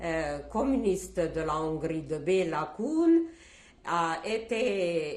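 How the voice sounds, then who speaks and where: Lively intonation and a very slow pace mark this voice with a Hungarian accent, heard with audible room echo. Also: woman. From Czechoslovakia, Hungarian-speaking family (southern Slovakia). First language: Hungarian (speaking French). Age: 70s. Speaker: Holocaust survivor. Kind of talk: testimony interview. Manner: hesitant, with frequent fillers.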